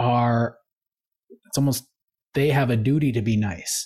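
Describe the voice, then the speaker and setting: In a very clean recording with a silent background, a man with a medium pitch sounds somewhat breathy. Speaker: podcast co-host. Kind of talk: casual chat.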